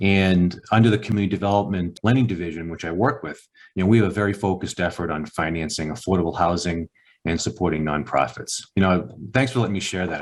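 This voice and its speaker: Very deep and low in pitch, a man with a Boston accent talks at a very fast pace with ordinary pitch variation. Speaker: bank executive. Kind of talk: podcast interview.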